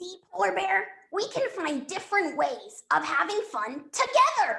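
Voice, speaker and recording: This is a cartoonish character voice. Its pitch is extremely high. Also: moderate pace. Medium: puppet. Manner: warm, reassuring.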